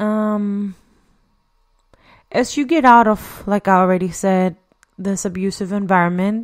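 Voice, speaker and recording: A woman with a non-native accent speaks at a fairly slow pace with long, frequent pauses. The recording is very clean, with a silent background. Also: medium pitch for a woman, ordinary pitch variation. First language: not English. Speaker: podcast host. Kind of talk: solo podcast monologue. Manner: halting. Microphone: new equipment, says voice sounds clear.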